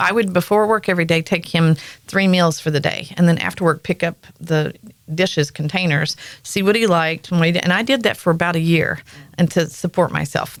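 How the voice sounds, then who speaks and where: A woman with a Southern accent speaks fairly quickly at a fairly low pitch, her loudness very even and her pitch varying in an ordinary way. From US South, rural North Carolina. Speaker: podcast host. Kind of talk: casual chat. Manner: animated storytelling.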